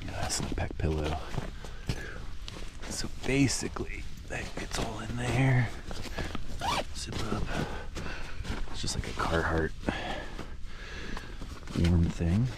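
A man with a fairly low voice and lively intonation talks at a slow pace with long, frequent pauses, clear background noise audible throughout.

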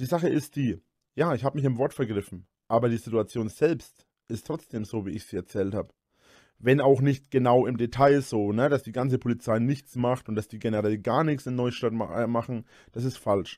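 A man speaks at a moderate pace in a dark, mellow tone with ordinary pitch variation. The sound is dry with no echo, and the background is quiet. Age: 30s. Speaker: YouTuber. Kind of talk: casual monologue. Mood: defensive, explaining. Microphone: studio mic.

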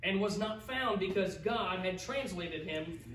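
Lively intonation marks a man's fairly slow delivery. Light background noise and audible room echo are present. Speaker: pastor. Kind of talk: sermon. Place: church. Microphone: camera far.

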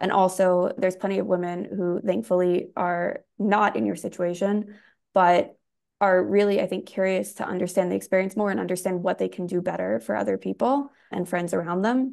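Lively intonation marks an unremarkable speaking voice at a moderate pace. All around it, the background is quiet. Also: woman, medium pitch for a woman. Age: young. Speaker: podcast host. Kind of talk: interview; scripted narration. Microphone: earbuds.

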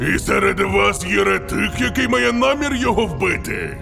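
A man speaks in a put-on character voice at a moderate pace, with music clearly audible in the background. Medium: fan dub. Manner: theatrical, fanatical.

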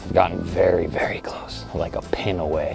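With clear music in the background, a man talks at a very deep, low pitch, the sound dry with no echo. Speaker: vlogger testing a mic. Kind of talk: casual vlog chat. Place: waterside. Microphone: lapel.

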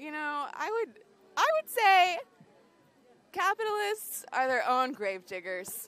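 Very slow and broken by long, frequent pauses, a woman's high-pitched voice swings very widely in pitch, the sound dry with no echo. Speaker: student protester. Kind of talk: street interview. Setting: outdoors at a campus protest. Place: open country. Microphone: handheld.

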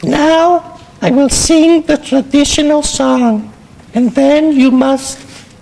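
In a cartoonish character voice, a female-sounding speaker talks very slowly at a high pitch. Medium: puppet show. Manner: mock-solemn, then bored.

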